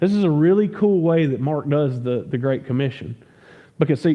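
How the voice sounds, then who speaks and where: This man speaks with a Southern US accent at a fairly quick pace. His voice is fairly high, with lively intonation. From US South. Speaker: pastor. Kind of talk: sermon. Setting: church. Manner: conversational, stumbling repeats.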